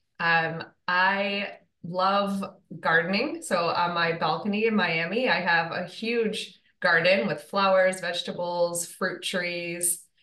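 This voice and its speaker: A woman with an American accent speaks at a very slow pace in a bright, sharp tone, her pitch fairly low and her intonation fairly even. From Michigan, US Midwest. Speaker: dietitian. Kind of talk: interview.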